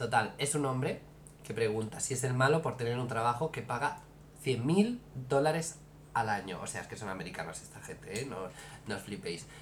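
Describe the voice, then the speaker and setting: A man speaks in a medium-pitched voice with big swings in loudness. The room echo is audible. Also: lively intonation, moderate pace. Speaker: podcast co-host. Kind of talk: casual chat.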